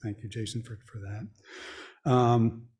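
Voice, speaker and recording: On a very clean recording with a silent background, a man speaks very slowly at a medium pitch, his tone dark and mellow and somewhat breathy. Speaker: environmental advisory committee member. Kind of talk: committee report at public meeting. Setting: township board meeting room. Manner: halting, many fillers.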